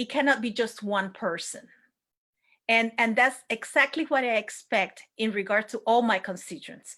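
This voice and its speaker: This woman has a fairly high pitch and speaks with a Spanish accent. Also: ordinary pitch variation, moderate pace, very clean recording, silent background. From Puerto Rico. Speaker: elected city official. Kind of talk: panel discussion. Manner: impassioned.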